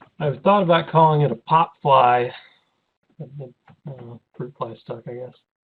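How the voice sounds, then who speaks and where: Here is a man with a fairly high pitch and ordinary pitch variation. His volume rises and falls in big swings. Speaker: options trading educator. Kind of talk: webinar presentation and Q&A. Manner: fast.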